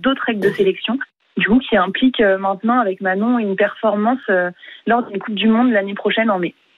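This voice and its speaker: Words pour out at a very fast pace, the intonation staying fairly even. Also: woman. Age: young. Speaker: kayaker. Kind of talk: radio interview.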